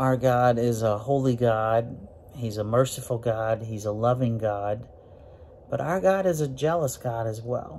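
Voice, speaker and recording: A man speaks at a fairly slow pace with ordinary pitch variation over light background noise. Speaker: preacher or Bible teacher. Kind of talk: sermon. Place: office. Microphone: phone near.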